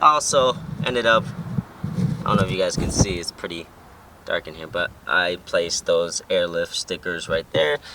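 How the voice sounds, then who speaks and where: A man at a moderate pace, with long, frequent pauses, big swings in loudness and noticeable background noise. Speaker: car vlogger. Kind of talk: casual vlog. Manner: casual, filler-heavy.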